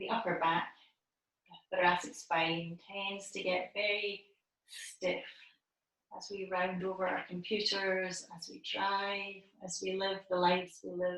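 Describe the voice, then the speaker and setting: In a calm, gentle tone, a woman speaks at a medium pitch and a fairly slow pace, with monotone, flat intonation and big swings in loudness. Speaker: yoga teacher. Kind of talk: instructional yoga cueing.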